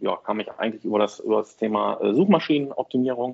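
A man with ordinary pitch variation. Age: 40s. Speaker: online marketing entrepreneur, deals portal founder. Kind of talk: podcast interview. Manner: hesitant, many fillers.

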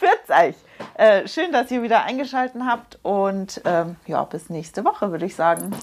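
Her pitch is fairly high, and it swings very widely. The woman keeps a moderate pace. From Munich. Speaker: hairdresser and make-up artist, podcast co-host. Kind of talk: casual chat.

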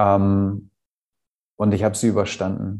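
A man speaks at a fairly slow pace with a fairly low pitch. His tone is dark and mellow against a quiet background. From Hamburg, northern Germany. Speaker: stress management coach. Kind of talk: personal testimony. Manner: halting.

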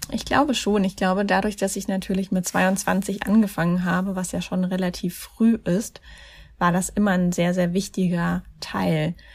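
The recording is very clean, with a silent background. A woman at medium pitch talks at a moderate pace, somewhat breathy, with fairly even intonation. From Germany, Mannheim. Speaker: life coach and charity founder. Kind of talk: interview.

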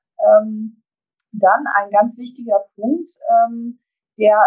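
A woman speaks very slowly in a fairly high, somewhat breathy voice with ordinary pitch variation, the sound dry and close with no echo. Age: 50s. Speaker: transport industry association executive. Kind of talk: interview. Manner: hesitant, many filler sounds.

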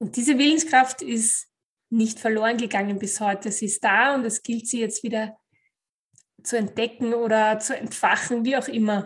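A woman speaks at a moderate pace with a fairly high, somewhat breathy voice. Her intonation stays fairly even. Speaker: podcast host, life coach. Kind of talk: motivational monologue.

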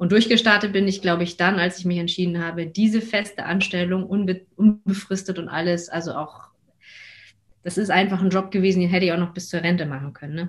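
Her fairly low voice somewhat breathy, a woman talks at a fairly quick pace with fairly even intonation. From Hamburg, northern Germany. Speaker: coach and mother. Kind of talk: interview.

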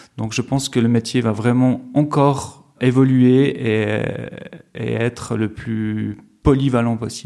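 Very slowly and in a monotone, flat way, a man speaks at medium pitch with a dark, mellow tone. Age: 40s. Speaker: festival finance director. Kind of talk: interview. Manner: hesitant, many fillers and repetitions.

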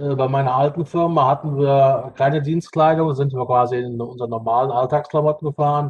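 A man's fairly high, somewhat breathy voice at a fairly quick pace, monotone and flat, with hardly any pauses. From Rhineland-Palatinate, Ahr valley. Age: 40s. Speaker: bus driver and state parliament candidate. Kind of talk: podcast interview.

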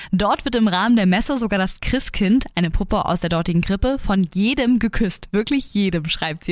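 At a moderate pace, a woman speaks in an animated tone with a medium pitch and lively intonation. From Germany. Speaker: podcast host. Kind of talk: casual chat; reading aloud.

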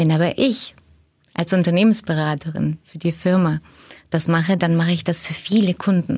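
A somewhat breathy, dark, mellow tone at a moderate pace, with fairly even intonation. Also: woman, fairly low pitch for a woman. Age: 40s. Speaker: management consultant. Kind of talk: podcast interview.

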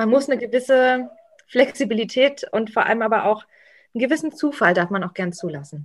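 A woman with an unremarkable speaking voice talks at a fairly quick pace, her fairly high pitch carrying lively intonation. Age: young. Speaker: association political strategy manager. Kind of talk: casual interview. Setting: at home.

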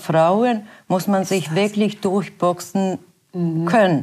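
A woman speaks with a Bosnian accent and fairly even intonation. The recording is very clean, with a silent background. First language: Bosnian (speaking German). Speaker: works council chair. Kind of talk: interview. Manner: halting.

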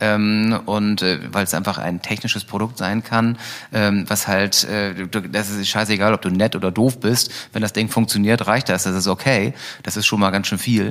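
A man of fairly low pitch at a moderate pace, with fairly even intonation. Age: 40s. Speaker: e-scooter company founder. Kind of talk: interview. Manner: hesitant, many fillers.

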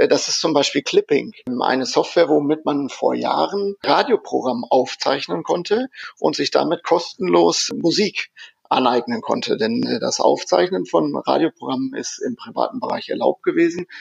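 At a moderate pace, a man speaks with a dry, close sound and no echo. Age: 40s. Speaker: software company innovation lab head. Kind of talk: interview. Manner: hesitant with many fillers.

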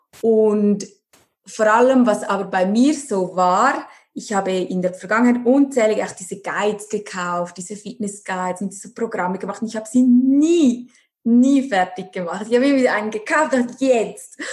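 A woman's fairly high, somewhat breathy voice moves at a moderate pace with ordinary pitch variation and big swings in loudness. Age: 30s. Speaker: nutrition and life coach. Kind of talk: interview.

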